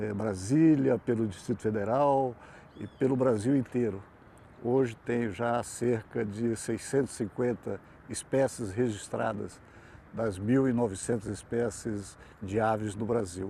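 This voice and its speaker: A man's dark, mellow voice, medium in pitch, fairly even in intonation, at a fairly slow pace. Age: 70s. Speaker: bird photographer, retiree. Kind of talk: interview.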